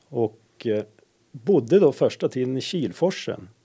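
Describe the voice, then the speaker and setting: Speaking with a slight northern Swedish accent, a man has a fairly high pitch and a dark, mellow tone. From inland Västerbotten, Dorotea. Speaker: energy controller. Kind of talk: interview. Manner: hesitant, filler-heavy.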